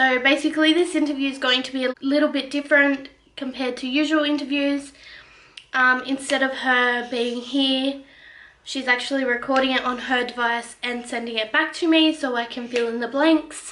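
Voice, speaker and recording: Speaking at a moderate pace, a woman with a high, bright and sharp voice and an Australian accent keeps a monotone, flat intonation. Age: 20s. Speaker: family vlogger. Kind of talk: casual talk to camera.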